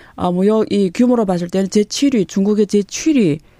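A woman's medium-pitched voice, dark and mellow in tone, lively in intonation, fairly slow in pace. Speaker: professor. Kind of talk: interview. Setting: studio.

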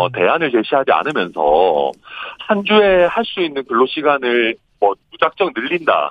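A man's voice with very wide pitch swings. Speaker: politician. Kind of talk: phone interview. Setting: phone call from a moving train. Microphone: poor phone line, connection dropped.

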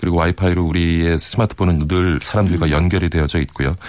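This man's voice has a very deep, low pitch. He talks at a very fast pace. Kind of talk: data analysis explanation.

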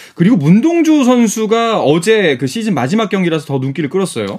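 A man's voice with very wide pitch swings. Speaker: radio sports announcer. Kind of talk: sports news reading and panel hosting. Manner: formal.

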